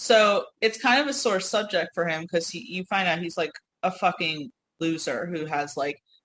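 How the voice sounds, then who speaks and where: With a US Northeast accent, a woman of medium pitch speaks in an animated tone at a moderate pace, her intonation lively. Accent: noticeable US Northeast. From New York / US Northeast. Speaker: podcast co-host. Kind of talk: casual chat.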